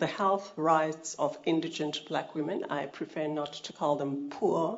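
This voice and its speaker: Ordinary pitch variation in a woman's speech. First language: not English (African language). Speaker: health rights advocate, NGO founder. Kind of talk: formal testimony at a public hearing. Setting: public hearing venue. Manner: formal.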